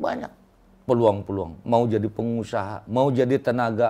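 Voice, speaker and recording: Fairly slow and fairly even in intonation, a man talks in a dark, mellow tone. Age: old. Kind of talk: interview. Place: office.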